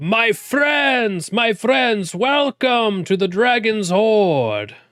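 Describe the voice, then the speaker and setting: Using a put-on character voice, a man talks at a very slow pace with a high pitch. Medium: actual play. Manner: theatrical, effusive.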